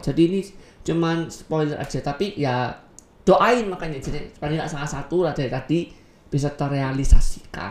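A woman's very deep, low voice at a fairly quick pace, with lively intonation. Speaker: podcast co-host. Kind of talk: casual chat. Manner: energetic.

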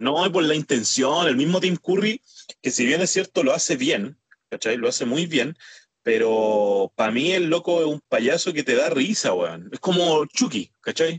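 A man speaks slowly-ish with a Chilean accent, his fairly high voice showing vocal fry. His intonation is lively, and the sound is dry and close with no echo. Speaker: podcast co-host, former wrestler. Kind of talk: casual chat.

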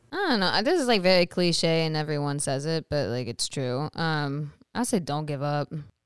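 With an Upper Midwest accent, the speaker keeps a moderate pace with hardly any pauses and lively intonation. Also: woman, very deep, low pitch for a woman. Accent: Upper Midwest American. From US Midwest, Wisconsin. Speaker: actress and model. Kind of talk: casual chat.

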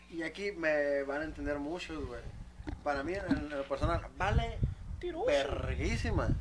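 A man with a Mexican accent, amid noticeable background noise and audible room echo. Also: fairly slow pace. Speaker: podcast host. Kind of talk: casual chat.

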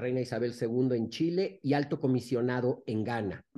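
A man speaks in a Mexican accent. His tone is dark and mellow. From Mexico. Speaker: podcast co-host, former diplomat. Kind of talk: casual interview.

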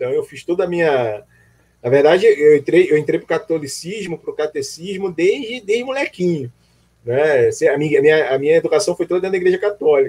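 This man talks at a fairly quick pace, pitched high for a man. His intonation is lively. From Rio de Janeiro. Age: 40s. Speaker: amateur runner and social media creator. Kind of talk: casual interview on a live stream.

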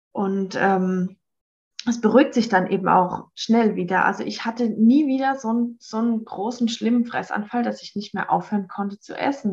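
A woman's somewhat breathy voice, fairly high in pitch with ordinary pitch variation. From Baden-Württemberg, Hockenheim. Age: 30s. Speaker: organic farmer. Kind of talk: personal testimony interview. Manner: halting, many fillers.

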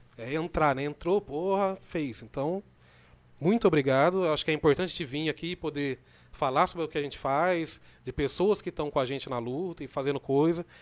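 On a very clean recording with a silent background, a man with an ordinary speaking voice talks at a fairly quick pace, his fairly high pitch showing ordinary variation. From Brazil, Rio Claro (São Paulo state). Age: 30s. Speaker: community organizer and youth project leader. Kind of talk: casual podcast interview. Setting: studio.

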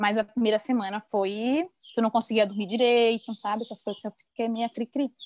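An unremarkable speaking voice from a woman, fairly high in pitch and fairly quick, with fairly even intonation and a dry, close sound with no echo. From Maranhão, Brazil. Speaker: podcast host. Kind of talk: casual interview chat.

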